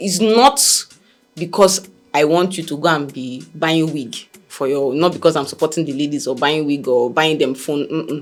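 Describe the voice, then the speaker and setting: Very deep, low female voice with an animated tone, ordinary pitch variation and a moderate pace, over music in the background. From Nigeria. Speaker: talk show host. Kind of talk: opinion commentary.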